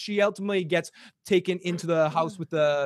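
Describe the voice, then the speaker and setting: A man speaks with a Boston accent and a high pitch. The sound is dry and close, with no echo. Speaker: podcast host.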